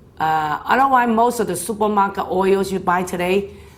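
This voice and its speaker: A woman speaks at a moderate pace with ordinary pitch variation. Her voice has vocal fry. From China. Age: 60s. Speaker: health speaker. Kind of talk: health talk. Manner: casual, conversational.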